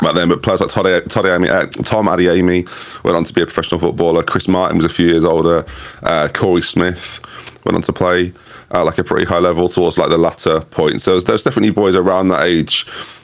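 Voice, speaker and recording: Against noticeable background noise, a man with a very deep, low pitch talks at a very fast pace in monotone, flat intonation with very even loudness. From England, Norfolk. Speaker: YouTube content creator. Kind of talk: casual interview chat.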